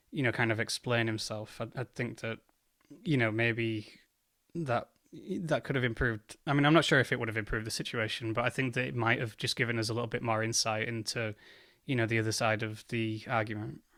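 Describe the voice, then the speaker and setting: On a very clean recording with a silent background, a man with an English accent speaks at a fairly quick pace, his medium pitch carried in fairly even intonation. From England. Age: 30s. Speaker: commentary youtuber. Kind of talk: reaction commentary. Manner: hesitant, many fillers.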